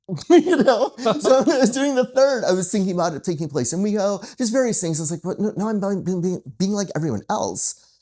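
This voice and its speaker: The tone is animated, with an American accent. The pace is fairly quick, with hardly any pauses. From Michigan, US Midwest. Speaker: screenwriter and novelist. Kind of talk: casual chat.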